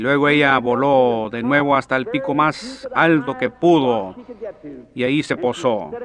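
Fairly slow and fairly high-pitched, a man talks with ordinary pitch variation. He has a plain, everyday voice. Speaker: preacher. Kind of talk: sermon preaching.

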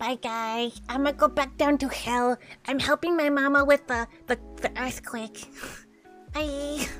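A woman's high-pitched put-on character voice at a fairly slow pace, with long, frequent pauses and clear music in the background. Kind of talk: cute character voice. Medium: game stream. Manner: curious, chirpy, easily confused.

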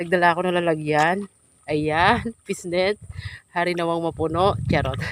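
A woman speaks in an unremarkable speaking voice, pitched fairly low. Her intonation is fairly even and her pace fairly slow. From Philippines, rural province. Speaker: vlogger. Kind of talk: vlog narration. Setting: outdoors, in flooded fields.

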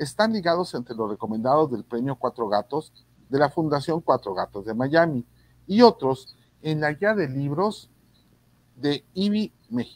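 Speaking fairly slowly, a man swings his pitch very widely in a dry recording with no echo and a quiet background. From Mexico. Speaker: reading promoter and online show host. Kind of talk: casual panel conversation; guest introduction. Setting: video call. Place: home room. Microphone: video call.

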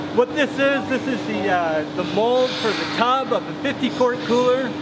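Loud background noise sits under speech that moves at a moderate pace. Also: man. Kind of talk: tutorial. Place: factory.

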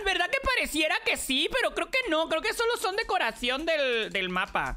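This woman's voice is extremely high in pitch and swings very widely. She keeps a moderate pace and very even loudness. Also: hardly any pauses. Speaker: streamer. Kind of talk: gaming livestream. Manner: animated. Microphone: too quiet.

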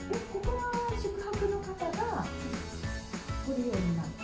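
Over loud background music, a woman speaks at a fairly slow pace. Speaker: TV reporter. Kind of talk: casual travel report to camera. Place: hall.

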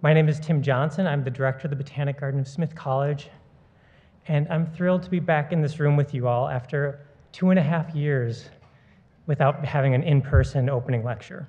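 A man's somewhat breathy, dark and mellow voice, at a fairly quick pace with fairly even intonation. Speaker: garden director introducing lecture. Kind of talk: formal welcome address. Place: hall. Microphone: podium.

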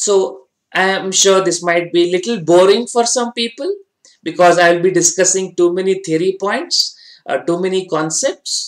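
Over a quiet background, a man talks at a high pitch with ordinary pitch variation. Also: moderate pace. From India. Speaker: finance exam tutor. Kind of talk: online lecture. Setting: online class with slides. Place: studio.

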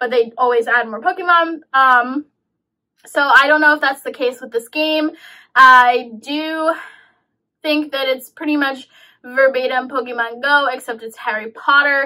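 Her voice raised and projected, a woman with a bright, sharp tone speaks at a fairly slow pace. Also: quiet background. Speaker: game reviewer vlogger. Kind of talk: casual vlog chat. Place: home room.

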